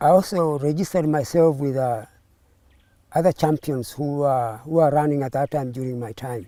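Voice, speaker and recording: Over a very clean recording with a silent background, a man speaks at a moderate pace with a fairly high pitch, a dark, mellow tone, and ordinary pitch variation. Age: 70s. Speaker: amateur long-distance runner. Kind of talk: interview. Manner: halting.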